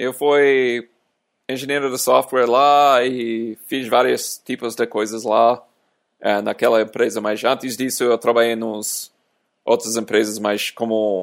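In an English accent, a man speaks very slowly at medium pitch with monotone, flat intonation, recorded very cleanly against a silent background. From US, small town. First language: English (speaking Portuguese). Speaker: software engineer. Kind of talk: casual chat. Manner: halting.

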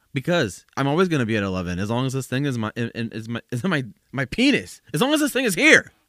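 A man with a bright, sharp tone talks at a fairly quick pace through very wide pitch swings, the sound dry and close with no echo. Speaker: podcast host. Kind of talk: casual solo podcast monologue. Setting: home studio with boom mic. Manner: casual, rambling, chatty with laughs.

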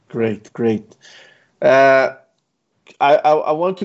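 A man speaks with a Brazilian accent. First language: Portuguese. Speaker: podcast host. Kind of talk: interview. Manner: halting.

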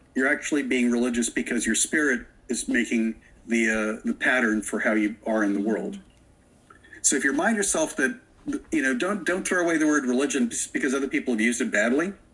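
Speaking at a fairly quick pace, a man with an American accent keeps a medium pitch with very wide swings and very even loudness. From Florida. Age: 60s. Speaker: witch and author. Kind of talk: interview.

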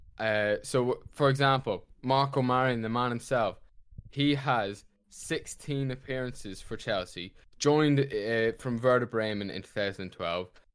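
In a very clean recording with a silent background, an unremarkable speaking voice talks at a fairly slow pace with ordinary pitch variation. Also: man. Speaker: podcast co-host. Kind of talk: casual chat.

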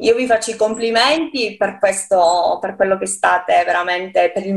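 Her pitch is medium, with ordinary variation. The woman talks at a fairly slow pace. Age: 40s. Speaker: poet. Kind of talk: interview. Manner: halting.

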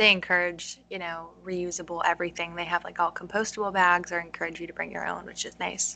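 A woman with an American accent talks at a very fast pace in a fairly low pitch. Her intonation stays flat and monotone while her loudness swings widely. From US Northeast, Connecticut. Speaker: podcast host. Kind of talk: interview conversation.

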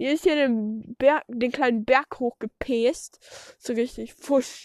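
Lively intonation marks a woman's high-pitched voice. The sound is dry and close with no echo. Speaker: podcaster. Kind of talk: casual solo monologue while doing farm chores. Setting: outdoors at a horse stable. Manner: halting, many fillers.

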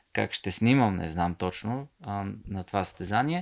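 Here a man talks at a moderate pace and fairly low pitch in an unremarkable speaking voice. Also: very clean recording, silent background. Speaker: author and ultramarathon runner. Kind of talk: casual chat.

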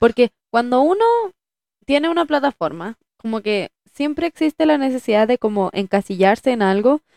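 A high-pitched woman's voice with a Chilean accent. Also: lively intonation, moderate pace, dry, close sound with no echo. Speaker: podcast co-host, actress. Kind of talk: casual chat.

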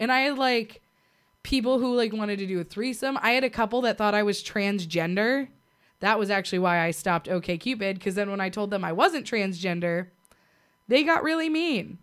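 This is a normal speaking voice with lively intonation at a moderate pace, captured in a very clean recording with a silent background. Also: woman, medium pitch for a woman. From US, Navy family (born in Puerto Rico, left as infant). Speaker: podcast co-host. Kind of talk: casual chat.

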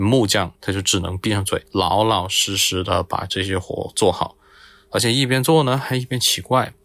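In a plain, everyday voice, a man speaks at a moderate pace with fairly even intonation. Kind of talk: storytelling.

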